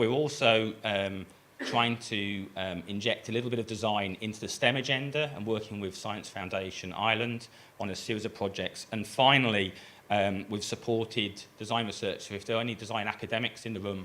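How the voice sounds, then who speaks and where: In a bright, sharp tone, a man talks at a fairly quick pace with a fairly low pitch and fairly even intonation. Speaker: design program director. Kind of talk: conference presentation. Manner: hesitant with many fillers.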